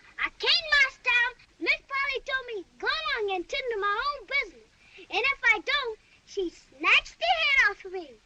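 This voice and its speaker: A put-on character voice speaks at a moderate pace with an extremely high pitch. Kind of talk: 1930s film acting. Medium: short film. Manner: deferential, timid.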